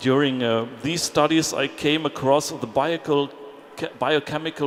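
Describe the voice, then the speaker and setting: A man with a German accent at a moderate pace, ordinary pitch variation, and noticeable background noise. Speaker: politician. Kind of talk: panel talk. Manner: halting.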